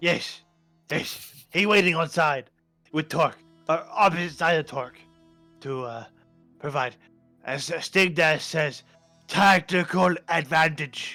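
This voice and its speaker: In a put-on character voice, the speaker goes at a fairly slow pace with long, frequent pauses while faint music plays in the background. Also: man, fairly high pitch for a man. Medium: actual play. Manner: broken grammar, simple speech.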